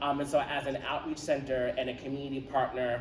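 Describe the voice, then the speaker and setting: A man with a New York accent speaks at a fairly high pitch in monotone, flat intonation. Audible room echo and noticeable background noise surround him. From Roosevelt, Long Island, New York. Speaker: nonprofit founder. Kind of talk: public speech at community event. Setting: community center event with audience. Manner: frequent filler 'um'.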